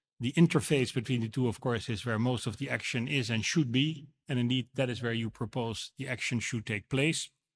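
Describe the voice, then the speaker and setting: A man with a Dutch accent reads at a fairly quick pace with hardly any pauses, his voice somewhat breathy and his intonation fairly even, in a dry, close sound with no echo on a very clean recording with a silent background. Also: medium pitch for a man. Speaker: moderator and council chairman. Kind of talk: debate rebuttal. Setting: stage with audience.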